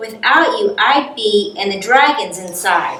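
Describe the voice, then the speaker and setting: Using a put-on character voice, a woman talks at a fairly slow pace with a high pitch. Her pitch swings very widely, and there is slight echo. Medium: read story.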